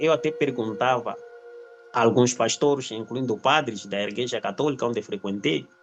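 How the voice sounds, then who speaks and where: Music in the background behind a man's moderate-paced speech. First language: not Portuguese, still learning it (speaking Portuguese). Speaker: spiritual discussion host. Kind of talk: online group talk on religion. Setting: online live group call. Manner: halting.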